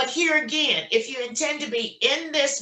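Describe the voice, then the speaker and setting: A woman speaks in a raised, projected voice with lively intonation. Her pace is moderate. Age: 60s. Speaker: notary signing agent. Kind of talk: casual chat.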